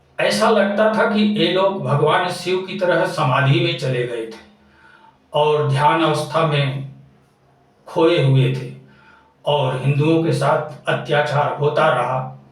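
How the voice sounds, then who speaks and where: A fairly high-pitched man's voice with audible room echo. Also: ordinary pitch variation. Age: 60s. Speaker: religious-political commentator. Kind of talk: monologue. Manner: impassioned.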